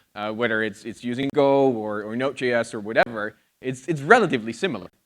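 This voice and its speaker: A man with an American accent at a very fast pace, with ordinary pitch variation, big swings in loudness and a quiet background. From outside the US. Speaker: conference speaker. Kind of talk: conference talk. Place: stage. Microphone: handheld.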